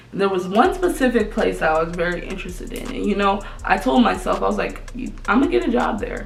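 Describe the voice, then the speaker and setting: With music in the background and audible room echo, a woman talks at a very fast pace. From Minnesota. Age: 20s. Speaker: YouTuber. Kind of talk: casual vlog talk to camera. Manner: animated.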